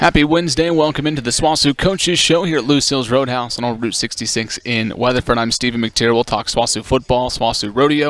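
A man talks at a fairly quick pace with ordinary pitch variation. The sound is dry with no echo. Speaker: sports show host. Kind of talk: interview questions. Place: bar. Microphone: headset.

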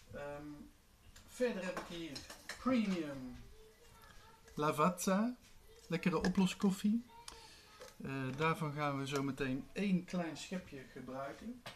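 A man with a high pitch talks at a very slow pace with long, frequent pauses and lively intonation over noticeable background noise. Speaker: video blogger. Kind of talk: tutorial. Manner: casual, with frequent fillers. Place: kitchen. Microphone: camera far.

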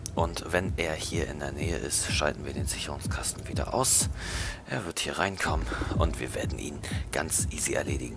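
A man whispers quietly at a fairly quick pace while music plays in the background. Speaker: gaming guide commentator. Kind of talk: game walkthrough commentary. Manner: quiet, half-whispered.

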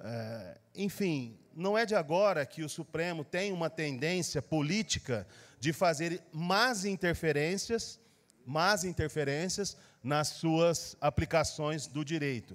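A man with lively intonation and a fairly high pitch talks at a very slow pace. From Brazil. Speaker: city councillor. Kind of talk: formal council speech. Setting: council chamber. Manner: formal, with frequent hesitations; forceful. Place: hall. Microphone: podium.

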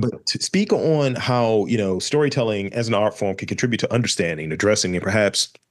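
A man speaks at a moderate pace with ordinary pitch variation in an ordinary speaking voice, against a quiet background. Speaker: podcast host. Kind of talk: casual podcast interview talk.

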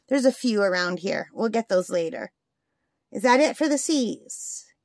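A woman speaks at a fairly slow pace in a high voice. The sound is dry with no echo, and the background is quiet. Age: 50s. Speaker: crafting YouTuber. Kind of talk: casual chat. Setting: home craft desk. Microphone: phone near.

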